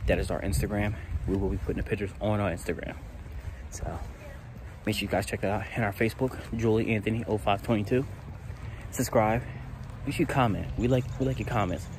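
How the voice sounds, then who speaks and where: Speaking at a fairly quick pace, a man with a fairly low voice and ordinary pitch variation is heard in a dry recording with no echo but noticeable background noise. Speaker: family vlogger. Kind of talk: casual vlog chat. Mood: playful, joking. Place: open country. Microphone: phone near.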